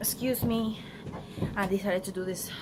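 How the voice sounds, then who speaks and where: A woman talks at a fairly quick pace. She has a Spanish accent. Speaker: beauty vlogger. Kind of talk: casual vlog to camera.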